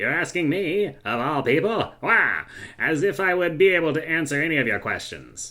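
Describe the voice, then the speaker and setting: A man puts on a character voice. It sits fairly high and moves at a moderate pace. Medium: actual play. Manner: smug, teasing, unconcerned.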